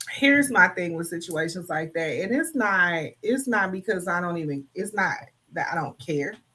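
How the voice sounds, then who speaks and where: A fairly slow, fairly low-pitched female voice with lively intonation. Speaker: livestream co-host. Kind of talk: casual chat. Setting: livestream.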